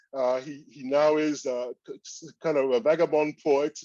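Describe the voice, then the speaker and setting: A man with a French accent has a dark, mellow tone at a fairly high pitch, recorded with a dry, close sound with no echo. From Cameroon, French-speaking part. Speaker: statistics professor. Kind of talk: keynote lecture. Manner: hesitant, many fillers.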